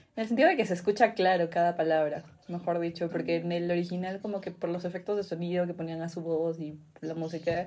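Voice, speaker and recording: At a moderate pace, a woman with an ordinary speaking voice and a fairly low pitch speaks with fairly even intonation. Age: 20s. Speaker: podcast co-host. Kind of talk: casual chat.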